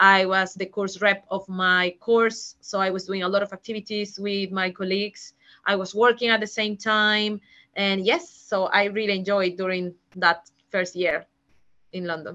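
With a Peruvian accent, a woman speaks at a moderate pace in a bright, sharp tone and monotone, flat intonation. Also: medium pitch for a woman. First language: Spanish. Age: 30s. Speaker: HR manager, migrant interviewee. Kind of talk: interview.

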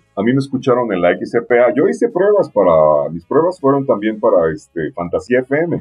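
A man at medium pitch, moderate pace, hardly any pauses and very wide pitch swings. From Mexico, Puebla. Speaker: radio announcer. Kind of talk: interview. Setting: radio studio.

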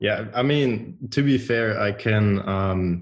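Against a quiet background, a man with a German accent speaks at a fairly low pitch. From Germany. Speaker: podcast host. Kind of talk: interview. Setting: remote call.

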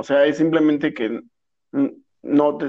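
A man with a Mexican accent speaks in a fairly high pitch. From Mexico. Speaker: podcast co-host, business graduate. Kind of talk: casual chat.

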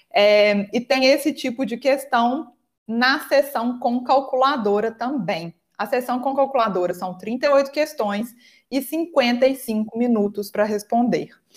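A woman with a Minas Gerais accent speaks at a very slow pace and a high pitch with ordinary pitch variation on a very clean recording with a silent background. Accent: Minas Gerais (mineiro) Portuguese. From Brazil, Minas Gerais. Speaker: English teacher and exam prep mentor. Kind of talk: interview.

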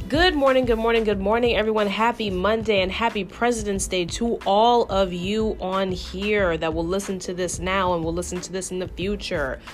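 Over noticeable background noise, a woman with an American accent talks at a moderate pace with hardly any pauses, her medium pitch varying in an ordinary way. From New York. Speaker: podcast host. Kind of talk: casual monologue. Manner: conversational.

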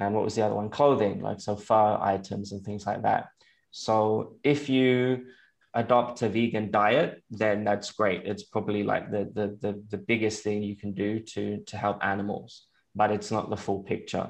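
A moderate pace with an English accent and fairly even intonation, against a quiet background. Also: man, fairly low pitch for a man. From England. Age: 30s. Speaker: vegan activist and nonprofit founder. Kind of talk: interview. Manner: halting.

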